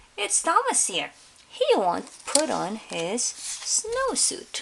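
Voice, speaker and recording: In a put-on character voice that sounds female, someone speaks very slowly at a high pitch for a woman. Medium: read story. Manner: exasperated.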